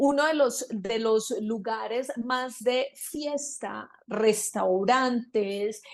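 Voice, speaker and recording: With ordinary pitch variation, a woman's voice rests at a fairly high pitch. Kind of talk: interview answer, storytelling.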